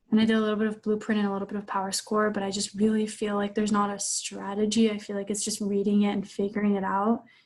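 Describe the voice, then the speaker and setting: Her pace is very fast, with a medium pitch and a somewhat breathy quality. The woman speaks with a non-native accent. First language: not English. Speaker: LSAT student. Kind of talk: coaching session. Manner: halting, many fillers.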